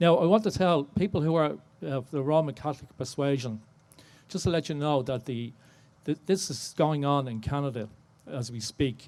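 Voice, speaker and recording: A man in a Dublin accent, fairly high in pitch, at a moderate pace. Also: ordinary pitch variation. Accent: Dublin Irish. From Ireland, Dublin. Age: 60s. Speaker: audience member, survivor contributor. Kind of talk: audience question/testimony. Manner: halting.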